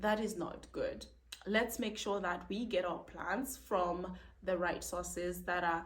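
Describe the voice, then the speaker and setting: Somewhat breathy, a woman speaks at a fairly slow pace with audible room echo. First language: not English. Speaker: plant video creator. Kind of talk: casual tutorial. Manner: animated.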